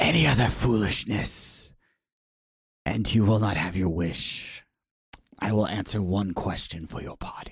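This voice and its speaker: A man performs a put-on character voice at a fairly low pitch, with hissing in the sound. He keeps a moderate pace broken by long, frequent pauses. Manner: hissing, imperious.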